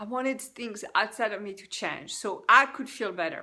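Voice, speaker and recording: A woman with a French accent and a bright, sharp tone at a moderate pace. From France. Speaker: life coach. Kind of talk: personal testimony. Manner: halting.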